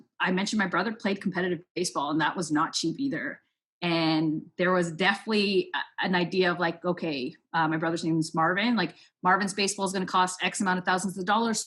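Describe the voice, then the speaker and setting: A woman with a Toronto accent talks at a very fast pace with a bright, sharp tone, medium pitch and fairly even intonation. The recording is very clean, with a silent background. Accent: Scarborough Toronto speech. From Canada, Scarborough, Ontario. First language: Spanish. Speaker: sports nonprofit program manager. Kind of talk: interview.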